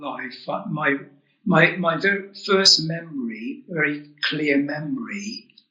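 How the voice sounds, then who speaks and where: With a southern English accent, a man speaks in a high voice at a very slow pace. His intonation is lively. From England, Oxford. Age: 70s. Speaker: author and UFO experiencer. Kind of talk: interview storytelling. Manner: halting, with repeated words.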